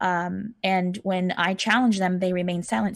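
Against a quiet background, a woman with an American accent and an unremarkable speaking voice speaks fairly quickly at a fairly low pitch, with fairly even intonation. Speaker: political candidate. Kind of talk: interview.

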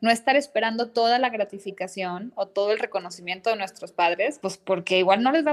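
A woman with a normal speaking voice talks at a fairly high pitch. Her pace is fairly quick, with hardly any pauses. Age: 30s. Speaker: psychoanalyst. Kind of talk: interview conversation.

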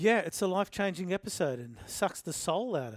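On a very clean recording with a silent background and a dry, close sound with no echo, a man with an Australian accent speaks at a moderate pace. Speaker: rugby league podcast host. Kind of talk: casual sports chat. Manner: loud, shouty.

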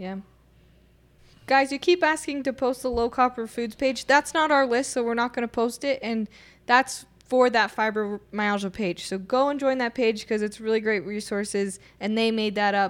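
Using a plain, everyday voice, a woman with a fairly high pitch talks at a moderate pace with ordinary pitch variation. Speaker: co-host. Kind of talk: casual health talk show. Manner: cheerful, laughs often.

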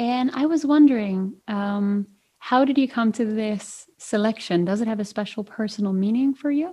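A woman at a fairly high pitch with a dark, mellow tone, somewhat breathy, speaking at a moderate pace with ordinary pitch variation. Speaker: podcast host. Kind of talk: interview conversation.

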